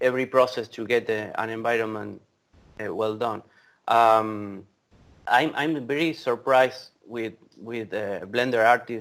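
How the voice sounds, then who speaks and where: A man with an Argentine accent at a medium pitch, fairly slow in pace, with fairly even intonation, on a very clean recording with a silent background. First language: Spanish. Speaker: VFX creative director. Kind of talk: casual interview chat. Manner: halting, repetitive.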